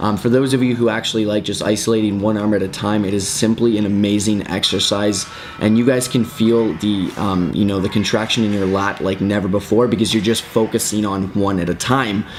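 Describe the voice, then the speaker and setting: Over noticeable background noise and audible room echo, a man speaks at a fairly low pitch. His tone is upbeat and his pace fairly quick. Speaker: fitness instructor. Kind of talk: tutorial. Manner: fast; casual, upbeat.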